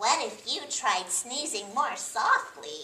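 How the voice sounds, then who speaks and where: A woman's put-on character voice, high-pitched with very wide pitch swings, at a fairly slow pace. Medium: read story. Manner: bright, bouncy.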